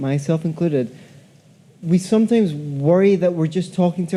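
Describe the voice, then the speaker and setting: A man with a Scottish accent and a high pitch. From Scotland. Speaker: audience member asking a question. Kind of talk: audience question. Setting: convention hall with audience.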